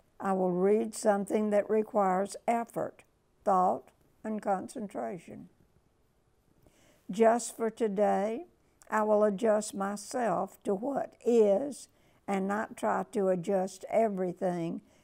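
Against a quiet background, a woman talks very slowly at a medium pitch with a dark, mellow tone. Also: ordinary pitch variation. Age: 90s. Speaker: inspirational speaker; speaker. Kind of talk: reading aloud. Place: home room. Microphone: lapel.

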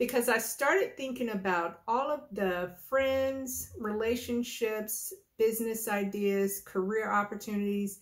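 Over a quiet background, a woman speaks at a very slow pace with ordinary pitch variation. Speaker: vlogger. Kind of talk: casual vlog chat. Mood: warm, reflective, smiling. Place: home room. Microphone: phone near.

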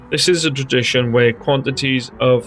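A Welsh accent over music in the background. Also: man. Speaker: history narrator. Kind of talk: history narration. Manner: dull, flat.

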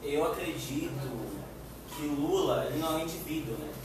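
Over noticeable background noise and strong room echo, a man speaks fairly slowly at a fairly high pitch. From Bahia, Brazil. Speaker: youth party activist. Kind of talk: panel discussion. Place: meeting room. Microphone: camera far.

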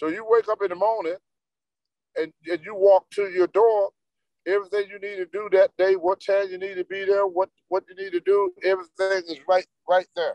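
In a dry sound with no echo and a quiet background, a man speaks at a moderate pace with monotone, flat intonation. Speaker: interview guest. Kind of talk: interview answer. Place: car. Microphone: video call.

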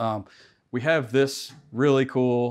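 A man delivers his words very slowly. Nothing stirs behind him; the background is quiet. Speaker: contractor showing his tool truck. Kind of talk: casual tour walkthrough. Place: garage.

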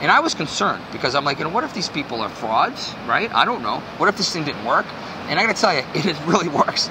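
Very fast speech from a man, noticeable background noise underneath. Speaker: guest. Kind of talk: interview answer. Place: street.

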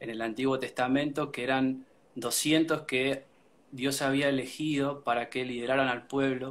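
A man with a Rioplatense accent speaks at a fairly slow pace, his medium-pitched voice keeping fairly even intonation. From Argentina, Buenos Aires area. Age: 30s. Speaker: worship band musician. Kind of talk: casual interview. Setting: livestream from home.

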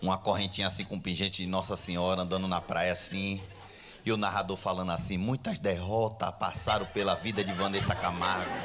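A man speaks in an animated tone with a very deep, low pitch. Music plays in the background. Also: fairly quick pace. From Brazil. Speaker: stand-up comedian. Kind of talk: stand-up comedy. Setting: stage with audience. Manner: animated, fast, irreverent, punchline-driven; casual, profane, bro-style slang. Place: stage. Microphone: handheld.

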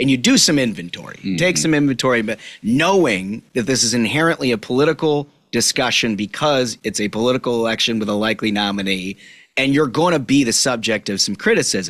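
With an American accent, a man talks at a very fast pace and with lively intonation against a quiet background. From Minnesota. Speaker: political podcast host. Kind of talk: casual chat. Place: studio. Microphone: studio mic.

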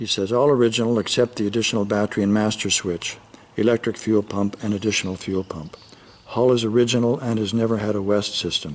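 Delivered at a moderate pace, the speech keeps a fairly even intonation. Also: man. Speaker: boat sales agent. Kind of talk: sales walkaround commentary. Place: garage.

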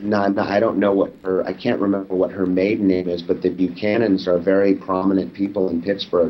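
With hardly any pauses, a man talks at a fairly quick pace in a very deep, low voice and a monotone, flat intonation. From Los Angeles, California. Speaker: documentary filmmaker; interview guest. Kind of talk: interview; interview answer. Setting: video call. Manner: halting, many fillers and repeats. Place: home room. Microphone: webcam.

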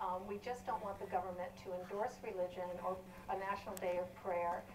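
Clear background noise accompanies a woman speaking at a middling speed. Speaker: atheist activist. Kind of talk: heated TV debate. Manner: emphatic, argumentative.

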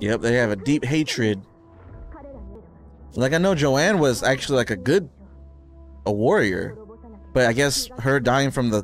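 Male voice at a moderate pace, dry with no echo, faint music in the background. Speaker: reaction channel co-host. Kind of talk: casual reaction commentary. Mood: amused, laughing.

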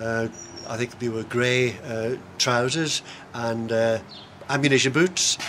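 Pausing often and at length, a man talks with fairly even intonation over light background noise. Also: fairly slow pace. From Isle of Man. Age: 70s. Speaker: long-distance race walker. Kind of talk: interview answer. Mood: relaxed reminiscing. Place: garden. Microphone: camera far.

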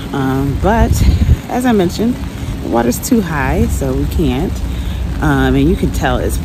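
Amid loud background noise, a woman speaks at a moderate pace in a dry sound with no echo. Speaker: travel vlogger. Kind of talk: casual vlog chat. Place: rain. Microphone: phone near.

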